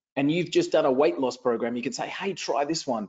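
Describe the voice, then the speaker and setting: An energetic man with an Australian accent talks at a fairly quick pace in a fairly high voice. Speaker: online marketing trainer. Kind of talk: live webinar training. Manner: energetic, repetitive.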